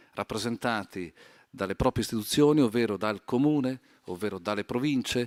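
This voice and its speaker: A man talks at a medium pitch in an ordinary speaking voice with ordinary pitch variation. The recording is very clean, with a silent background. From Italy, Trento. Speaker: highway company executive. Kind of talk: panel discussion. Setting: conference stage.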